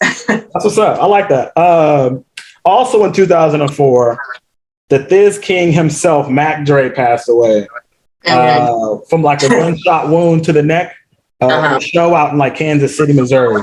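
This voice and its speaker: With a normal speaking voice, a man talks at a moderate pace, his fairly high pitch carrying lively intonation at very even loudness. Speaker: interviewer. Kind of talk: podcast interview questions.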